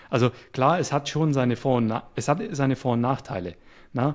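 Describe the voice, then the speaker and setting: The recording is very clean, and the background is silent. In an unremarkable speaking voice, the speech goes fairly quickly with ordinary pitch variation. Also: man. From Swabia, near Stuttgart, Germany. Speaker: web developer and YouTuber. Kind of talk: casual interview conversation. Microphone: good microphone.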